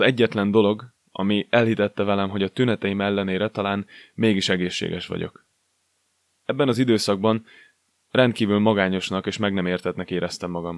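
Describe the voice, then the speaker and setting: Fairly quick and fairly even in intonation, a man speaks at a fairly low pitch. The very clean recording has a silent background and a dry, close sound with no echo. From Hungary, Szolnok. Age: 20s. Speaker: podcast host and personal trainer. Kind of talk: scripted monologue.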